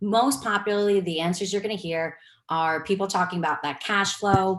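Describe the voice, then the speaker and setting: The speaker has a New York accent and ordinary pitch variation. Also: woman, medium pitch for a woman. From New York City. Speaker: real estate investor and cancer researcher. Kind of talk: webinar presentation. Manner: fast.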